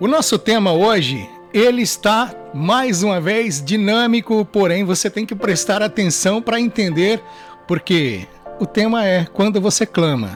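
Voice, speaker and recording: A high-pitched man at a fairly slow pace, lively intonation and music in the background. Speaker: radio announcer. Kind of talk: devotional reflection, radio sermon.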